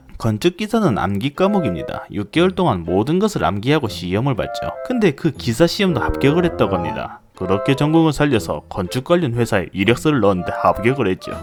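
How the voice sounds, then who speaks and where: A man with medium pitch at a fairly quick pace, hardly any pauses and very wide pitch swings, with music in the background. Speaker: software developer. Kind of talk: casual storytelling narration.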